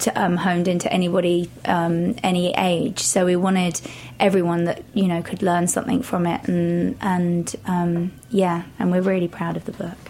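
With an English accent, the speaker moves at a moderate pace with hardly any pauses and fairly even intonation. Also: woman, fairly low pitch for a woman. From England, Shropshire. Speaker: personal trainer and author. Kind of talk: interview. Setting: studio.

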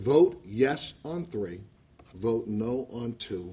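A man's somewhat breathy voice, medium in pitch, dark and mellow in tone, with lively intonation. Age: 60s. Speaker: cannabis activist and veteran. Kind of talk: public testimony. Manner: impassioned.

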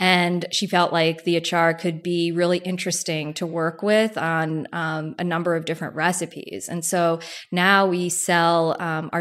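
A woman with an American accent speaks at a fairly slow pace and a fairly low pitch, in an ordinary speaking voice. The recording is very clean, with a silent background. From New Jersey. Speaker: food brand founder. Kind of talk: interview.

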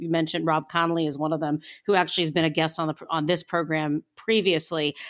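A woman with an American accent speaks at a fairly low pitch. The recording is very clean, with a silent background. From Northeastern Ohio. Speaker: food podcast host. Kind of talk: casual interview.

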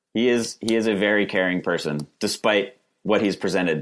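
A man with an American accent has a normal speaking voice, fairly low in pitch, at a moderate pace with ordinary pitch variation. The recording is very clean with a silent background. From Western Massachusetts (West Stockbridge, Berkshires). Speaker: litigant in comedic dispute. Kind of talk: casual chat.

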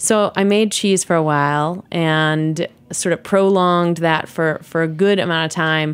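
A woman with an American accent speaks in a plain, everyday voice at a fairly slow pace, with fairly even intonation and hardly any pauses. The recording is very clean, with a silent background. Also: fairly low pitch for a woman. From US, New York City. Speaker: cheese industry producer and co-host. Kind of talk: casual interview.

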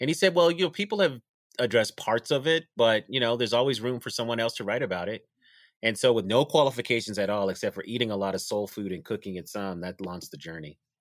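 Recorded very cleanly with a silent background and a dry, close sound without echo, a man with an American accent talks very fast at medium pitch with lively intonation. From Denver, Colorado. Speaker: food historian and author. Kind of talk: interview.

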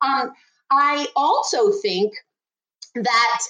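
Her pitch is high. This woman's voice swings very widely in pitch. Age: 50s. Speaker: hemp industry consultant. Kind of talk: interview.

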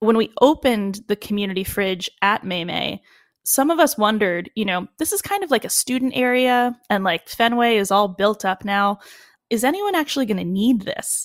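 A woman with an American accent in an ordinary speaking voice, fairly high in pitch with ordinary pitch variation, at a moderate pace, in a dry, close sound with no echo. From Boston, US. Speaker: chef and restaurant entrepreneur. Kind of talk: interview.

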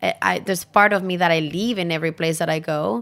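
On a very clean recording with a silent background, a woman with a Spanish accent talks at a medium pitch with fairly even intonation. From Chile, Santiago. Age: 40s. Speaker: chef. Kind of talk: interview.

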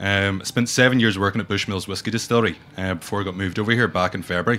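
In a Northern Irish accent, a man talks at a very fast pace. His pitch is fairly low, his intonation fairly even, and his tone bright and sharp. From Northern Ireland. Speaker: brand ambassador and whiskey educator. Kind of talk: casual interview chat. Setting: studio.

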